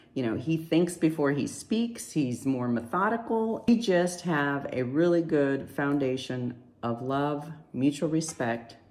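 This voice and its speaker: A woman's very deep, low voice with lively intonation, fairly slow, in audible room echo. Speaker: married guest sharing about marriage. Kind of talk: casual home video message. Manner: loud.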